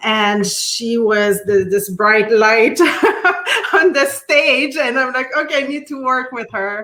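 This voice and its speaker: A woman's fairly high-pitched voice over noticeable background noise. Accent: Quebec. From Quebec City, French Canada. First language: French. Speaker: artist and art teacher. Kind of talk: interview. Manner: halting, many fillers and restarts.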